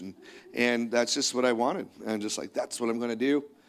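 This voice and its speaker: In a very clean recording with a silent background, a man with a plain, everyday voice speaks in a Canadian accent at medium pitch with fairly even intonation. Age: 50s. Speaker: pastor. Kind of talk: sermon. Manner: casual.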